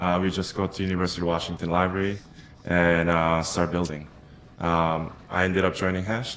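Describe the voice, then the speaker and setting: A man's very deep, low voice, monotone and flat, fairly quick, with very even loudness and audible room echo. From Japan. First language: Japanese. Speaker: crypto investor. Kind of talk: casual interview chat. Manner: many fillers and hesitations.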